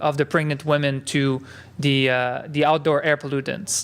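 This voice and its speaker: A man is speaking. He has a French Canadian accent. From Quebec. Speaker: epidemiologist. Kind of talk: conference talk. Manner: halting, many filler words.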